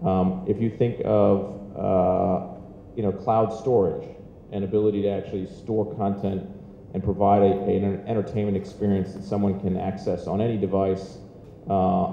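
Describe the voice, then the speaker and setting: At a moderate pace, a man talks with a fairly low pitch and monotone, flat intonation, with audible room echo and light background noise. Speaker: media company executive on a panel. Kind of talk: interview answer. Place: hall. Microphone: handheld.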